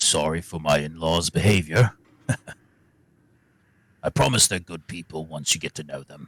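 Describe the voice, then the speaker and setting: A man's put-on character voice, very deep and low, with ordinary pitch variation, a moderate pace and long, frequent pauses. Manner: sheepish, apologetic.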